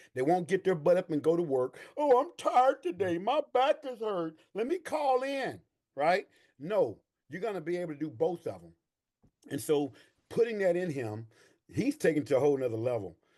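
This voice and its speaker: Someone with an American accent speaks at a moderate pace in an animated tone, pitch swinging very widely. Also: man, high pitch for a man. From East Texas. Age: 60s. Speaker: army veteran and veterans' claims coach. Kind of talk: interview.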